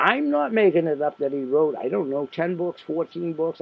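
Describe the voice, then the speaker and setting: Noticeable background noise sits behind this man's voice. He speaks at a moderate pace with a fairly high pitch. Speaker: independent sales marketer. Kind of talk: podcast monologue. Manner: rambling, conversational.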